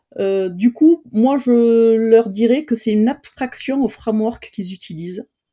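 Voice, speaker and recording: A woman talks at a fairly slow pace with hardly any pauses, in a normal speaking voice. Her pitch is fairly high, with ordinary variation. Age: 50s. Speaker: no-code trainer. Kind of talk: interview.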